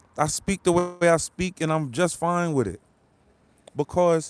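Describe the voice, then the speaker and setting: A man with a fairly high pitch talks at a fairly slow pace in an animated tone. The sound is dry and close with no echo. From New York City. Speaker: live-stream commentator. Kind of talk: live stream chat with viewers. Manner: repetitive.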